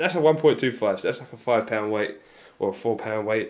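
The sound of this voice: A man speaks at a fairly quick pace with fairly low pitch and lively intonation. Room echo can be heard.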